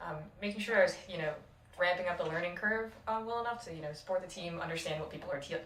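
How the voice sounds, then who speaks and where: Woman with an American accent and a fairly low pitch, very fast pace and ordinary pitch variation, amid noticeable background noise and audible room echo. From Rochester, New York. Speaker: intern, recent graduate. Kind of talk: casual interview podcast.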